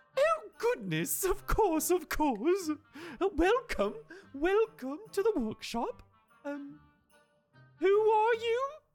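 A put-on character voice at an extremely high pitch, with very wide pitch swings, a very slow pace and long, frequent pauses over faint music in the background. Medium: actual play. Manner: warm, polite, slightly fussy.

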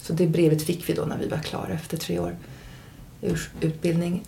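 Some room echo can be heard as a woman talks at a moderate pace. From Germany and Stockholm, international upbringing. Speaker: nurse and therapist. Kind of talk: casual chat. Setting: at host's home.

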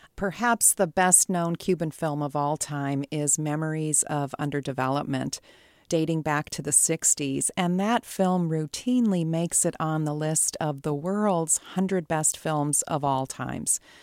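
Recorded very cleanly against a silent background, with a dry, close sound and no echo, a woman speaks at a fairly slow pace in a very deep, low pitch, with ordinary pitch variation and hardly any pauses. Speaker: professor of film studies. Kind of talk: interview.

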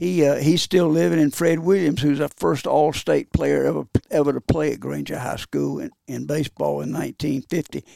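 A Southern US accent with hardly any pauses. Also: man, moderate pace, dry, close sound with no echo. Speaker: retired baseball coach, hall of famer. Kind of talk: casual chat. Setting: studio.

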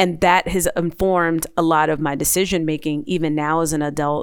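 In a plain, everyday voice, a woman with an American accent speaks at a moderate pace and fairly low pitch. Her intonation stays fairly even. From New Jersey, Maplewood. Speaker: transportation official and author. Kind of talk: interview.

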